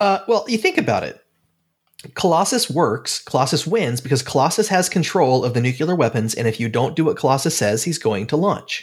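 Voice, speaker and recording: A man with a Pacific Northwest accent speaks at a fairly quick pace. His voice is fairly high and somewhat breathy, with very wide pitch swings. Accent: Pacific Northwest American. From Oregon. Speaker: podcast host. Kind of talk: casual chat.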